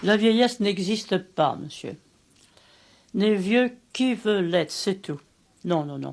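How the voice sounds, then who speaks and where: Speaking very slowly, a woman leaves long, frequent pauses, and her loudness swings widely. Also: medium pitch for a woman, ordinary pitch variation. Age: 80s+. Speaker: martial arts teacher. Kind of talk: interview; class instruction.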